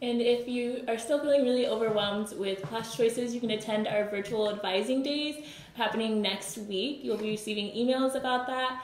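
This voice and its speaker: A woman with a fairly high voice speaks at a moderate pace with hardly any pauses and fairly even intonation, over light background noise with audible room echo. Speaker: university student orientation leader; panelist. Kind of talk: live Q&A panel. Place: meeting room. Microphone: camera far.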